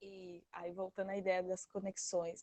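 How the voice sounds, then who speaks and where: Dry and close with no echo, a woman's dark, mellow tone comes through at a fairly slow pace. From Brazil, Mato Grosso. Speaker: study group participant, agroecology worker and activist. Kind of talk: online study group discussion. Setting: online video call. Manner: halting, with many fillers and restarts.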